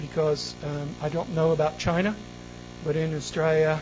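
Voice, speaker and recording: The man's intonation is monotone and flat. Noticeable background noise can be heard. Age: 60s. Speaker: soil scientist and international lecturer. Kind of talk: presentation to a visiting delegation. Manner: halting, many fillers.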